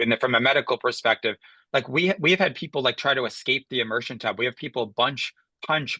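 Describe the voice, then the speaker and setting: Very fast and bright, a man speaks with a sharp tone at medium pitch and ordinary pitch variation. The sound is dry and close, free of echo. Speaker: professor and heat illness researcher. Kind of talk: webinar Q&A answer.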